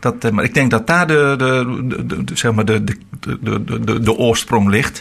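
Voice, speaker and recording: Over noticeable background noise, a man speaks at a very slow pace and medium pitch. His loudness stays very even, and his pitch varies in an ordinary way. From Netherlands, Veluwe (Harderwijk). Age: 60s. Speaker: retiring pastor. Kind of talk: radio interview.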